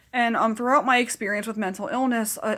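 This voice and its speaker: A woman talks at a very fast pace with ordinary pitch variation. Noticeable background noise sits behind her. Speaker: mental health vlogger. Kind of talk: casual chat. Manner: animated.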